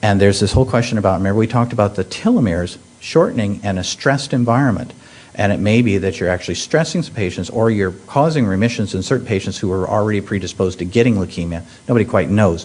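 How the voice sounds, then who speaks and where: A man's fairly low voice at a very fast pace, with noticeable background noise behind it. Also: ordinary pitch variation. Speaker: pediatric hematologist oncologist, professor. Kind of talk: medical conference talk. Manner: halting, many fillers.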